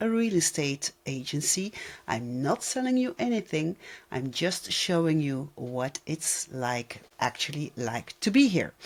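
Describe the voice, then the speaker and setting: Very deep and low for a woman, her voice has a non-native accent, very wide pitch swings and a very slow pace. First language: not English. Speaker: vlogger. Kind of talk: personal vlog.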